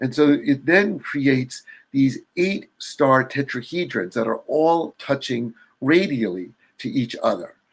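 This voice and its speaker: Lively intonation marks a man's fairly high voice, an unremarkable speaking voice. He talks at a fairly slow pace. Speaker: sacred geometry artist and builder. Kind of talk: illustrated presentation.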